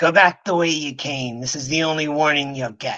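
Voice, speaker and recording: Putting on a gruff character voice, a man talks at a moderate pace in a fairly high pitch. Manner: stern, warning.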